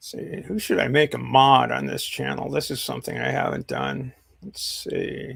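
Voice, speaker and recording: A man with an American accent at a moderate pace, his loudness swinging widely. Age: 60s. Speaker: live streamer. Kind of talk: casual chat. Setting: live stream.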